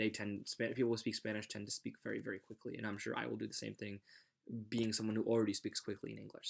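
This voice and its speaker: Very fast in pace, a man's voice sits at a fairly low pitch. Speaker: student teacher. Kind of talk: self-reflection monologue. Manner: playful.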